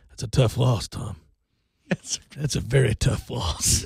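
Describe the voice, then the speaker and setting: A raspy, whispered put-on character voice from a man, at a fairly slow pace. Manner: taunting.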